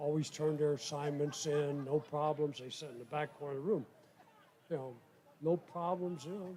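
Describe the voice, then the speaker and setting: This man's fairly high voice is somewhat breathy, and his intonation stays fairly even. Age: 80s+. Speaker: war veteran. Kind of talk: casual chat.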